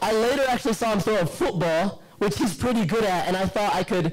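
At a fairly quick pace, a man speaks in a slightly mellow tone.

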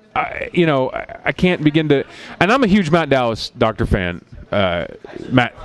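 With an American accent, a man talks at a moderate pace in a dry sound with no echo. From Philadelphia. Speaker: podcast host. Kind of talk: casual chat. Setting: bar with small audience. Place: studio. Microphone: headset.

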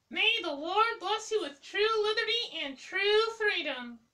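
Putting on a character voice, a man talks fairly slowly at an extremely high pitch. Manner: gentle, blessing.

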